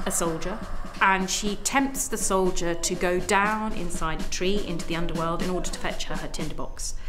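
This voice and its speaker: Music plays in the background as a woman speaks. Her pace is moderate and her pitch varies in an ordinary way. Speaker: puppet theatre maker. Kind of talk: interview answer.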